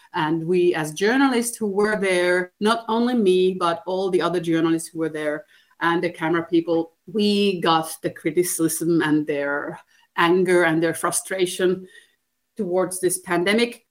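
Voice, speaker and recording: Using an unremarkable speaking voice, a woman talks at a fairly slow pace, her pitch fairly low and her pitch variation ordinary. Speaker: TV journalist. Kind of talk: interview answers.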